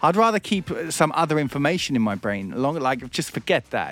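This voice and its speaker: A man with an English accent speaks at a fairly quick pace with hardly any pauses. His fairly high voice has very wide pitch swings and vocal fry. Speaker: radio host and comedian. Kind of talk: casual comedy chat. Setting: studio.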